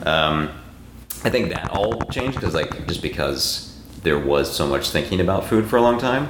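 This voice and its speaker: Someone talks at a moderate pace with very wide pitch swings, amid noticeable background noise and audible room echo. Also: man, very deep, low pitch for a man. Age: 30s. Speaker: podcast host. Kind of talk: casual interview chat.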